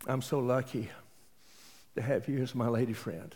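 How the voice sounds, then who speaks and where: Heard in a very clean recording with a silent background, this voice has a dark, mellow tone, ordinary pitch variation and a Texas accent. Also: man. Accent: Texas Southern US. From East Texas. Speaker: pastor. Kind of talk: sermon.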